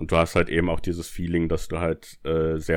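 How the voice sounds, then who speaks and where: A man's very deep, low voice at a moderate pace. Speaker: podcast co-host. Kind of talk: casual chat.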